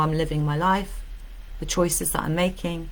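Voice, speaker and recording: The woman's pitch is fairly low, with ordinary pitch variation. Her pace is fairly quick. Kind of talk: live-stream coaching talk to camera. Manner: energetic, warm, chatty, enthusiastic.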